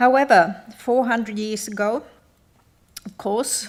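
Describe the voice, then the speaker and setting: With a slight Australian accent, a woman talks in a fairly even intonation. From northern Sweden (Sami, Gällivare). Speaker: glass artist. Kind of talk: conference talk.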